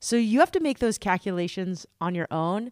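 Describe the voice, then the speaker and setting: A woman speaks at a moderate pace with ordinary pitch variation in an ordinary speaking voice, the sound dry and close with no echo. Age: 40s. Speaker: podcast host. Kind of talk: scripted narration; interview.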